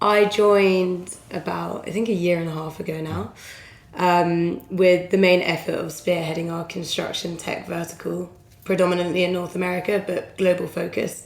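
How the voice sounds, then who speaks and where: A woman speaks with an English accent at a fairly low pitch and a moderate pace. Her intonation is monotone and flat, with audible room echo. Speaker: recruitment consultant. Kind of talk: podcast interview.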